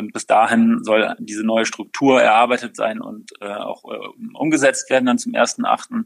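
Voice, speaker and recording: A man speaking at a fairly slow pace with big swings in loudness, the sound dry and close with no echo. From Rhineland, Germany (Overath, Bergisches Land near Cologne). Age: 40s. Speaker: company founder. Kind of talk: interview. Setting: video call. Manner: hesitant, many filler sounds.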